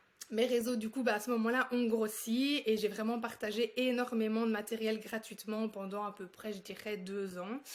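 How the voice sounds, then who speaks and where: The delivery has monotone, flat intonation and hardly any pauses. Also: woman, fairly high pitch for a woman, moderate pace. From Belgium. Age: 20s. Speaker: speech therapist and entrepreneur. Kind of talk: interview.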